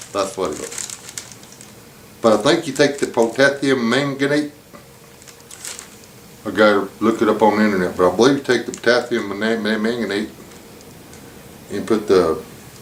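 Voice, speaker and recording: A man speaks at a moderate pace in a relaxed tone, his medium pitch moving with ordinary variation over noticeable background noise. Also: long, frequent pauses. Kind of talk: casual talk to camera. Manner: stammer; relaxed, casual.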